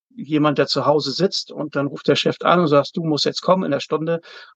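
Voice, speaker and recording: It's an ordinary speaking voice: a man pitched fairly high, with ordinary pitch variation. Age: 50s. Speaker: zookeeper and works council chair. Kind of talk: interview.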